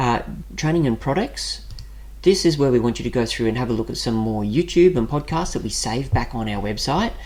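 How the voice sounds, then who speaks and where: Talking at a fairly quick clip, a man with an Australian accent uses lively intonation at a medium pitch. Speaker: personal finance YouTuber. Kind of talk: screen-share website walkthrough. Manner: casual, conversational.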